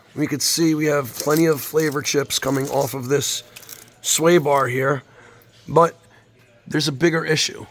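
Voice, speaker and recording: With music playing behind him, a man speaks at a moderate pace in a fairly high voice. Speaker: mechanic. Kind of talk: video walkthrough of a vehicle inspection. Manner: animated.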